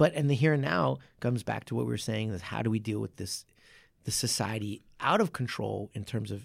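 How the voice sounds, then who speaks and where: Over a silent background in a very clean recording, a man with fairly low pitch and vocal fry talks at a fairly quick pace with lively intonation. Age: 40s. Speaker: martial arts coach and podcast host. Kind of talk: casual chat.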